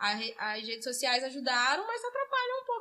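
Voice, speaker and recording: A woman speaks in a raised, projected voice at a fairly quick pace. Her pitch swings very widely. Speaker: local news journalist. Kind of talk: casual interview chat.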